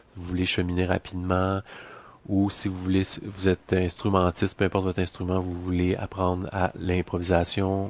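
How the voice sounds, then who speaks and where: In a Quebec accent, a man speaks at a moderate pace in a very deep, low pitch with monotone, flat intonation and a dry sound with no echo. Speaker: musician and music teacher; music teacher. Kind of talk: promotional video message. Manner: hesitant, many fillers. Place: home room. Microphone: headset.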